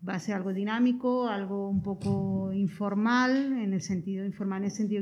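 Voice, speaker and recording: The voice belongs to a woman and is somewhat breathy. She moves through her words fairly quickly. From Andalusia. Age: 40s. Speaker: community social worker. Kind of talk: interview.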